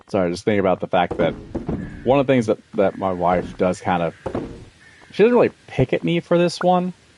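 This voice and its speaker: A man with an American accent, fairly low in pitch, fairly quick in pace, with very wide pitch swings and long, frequent pauses. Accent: occasional Southern. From US, military brat, various states. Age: 30s. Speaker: video game streamer. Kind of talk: casual chat.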